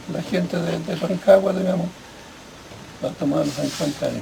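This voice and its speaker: A man talks at a moderate pace. Noticeable background noise runs beneath his voice. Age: 80s+. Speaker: former farm worker, land occupation participant. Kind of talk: interview. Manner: halting.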